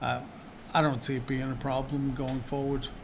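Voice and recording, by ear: Vocal fry runs through a man's medium-pitched voice as he speaks at a moderate pace with little pitch movement, amid audible room echo.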